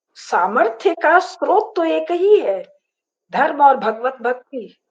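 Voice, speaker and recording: Here a woman speaks with a high pitch. Her pitch swings very widely. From rural north India, Varanasi. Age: 70s. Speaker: professor and author on dharma. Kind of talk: interview discussion.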